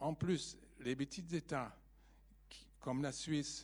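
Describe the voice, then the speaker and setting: With a German accent, a man speaks very slowly in a dark, mellow tone. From Germany. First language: German (speaking French). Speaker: audience member. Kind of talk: audience question.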